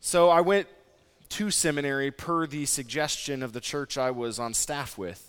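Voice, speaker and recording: A man with an American accent and a normal speaking voice talks at a moderate pace, fairly high in pitch, with lively intonation on a very clean recording with a silent background. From Nebraska. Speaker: pastor. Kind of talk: sermon.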